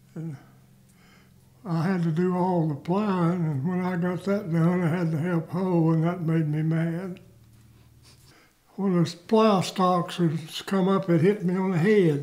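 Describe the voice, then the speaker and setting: A man with a Southern US accent speaks at a fairly slow pace in a flat, monotone delivery, leaving long and frequent pauses. His pitch is high, and his tone is dark and mellow. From US South, north Georgia. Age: 90s. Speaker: war veteran. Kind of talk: oral history interview.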